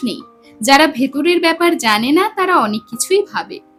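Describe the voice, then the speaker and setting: A woman speaks in a high voice with lively intonation while music plays in the background. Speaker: storyteller. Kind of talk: audio story narration.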